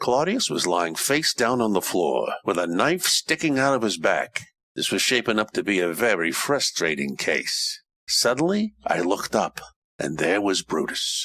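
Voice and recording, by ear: In a put-on character voice, the speaker takes big pitch swings at a fairly slow pace, with a bright, sharp tone. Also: man, low pitch for a man.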